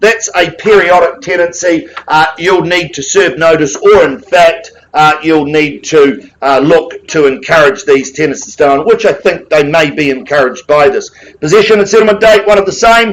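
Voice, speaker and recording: Loud and high-pitched, a man projects his voice. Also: ordinary pitch variation, moderate pace, hardly any pauses. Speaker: auctioneer. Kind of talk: live auction calling. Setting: auction room with audience.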